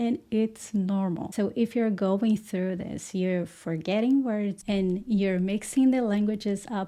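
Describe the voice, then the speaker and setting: A very slow, dark and mellow voice with a Portuguese accent, fairly even intonation and hardly any pauses, on a very clean recording with a silent background. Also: woman, medium pitch for a woman. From Brazil. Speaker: English teacher. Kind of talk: tutorial.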